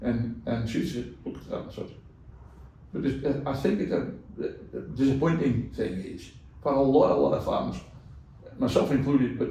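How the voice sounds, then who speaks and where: A man's voice with long, frequent pauses and audible room echo. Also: moderate pace. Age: 70s. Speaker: cattle farmer. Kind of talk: casual interview chat.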